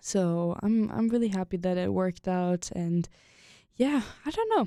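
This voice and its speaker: On a very clean recording with a silent background, a woman with a German accent speaks at a moderate pace and medium pitch, her dark, mellow tone keeping very even loudness and ordinary pitch variation. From Germany. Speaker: podcast co-host. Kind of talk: casual chat.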